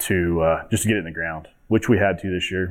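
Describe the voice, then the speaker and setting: With a Midwestern US accent, a man speaks at a moderate pace. His very deep, low voice keeps a fairly even intonation. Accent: rural Midwestern American. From Kansas. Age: 30s. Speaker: farmer. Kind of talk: conference presentation.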